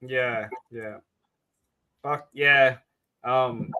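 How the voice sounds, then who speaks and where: A man's bright, sharp voice at medium pitch carries an Australian accent. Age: 30s. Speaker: podcast host. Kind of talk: casual chat. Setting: podcast recording.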